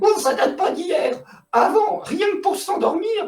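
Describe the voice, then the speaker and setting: A man does a put-on character voice at an extremely high pitch. He speaks at a fairly slow pace. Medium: read story. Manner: theatrical, gushing.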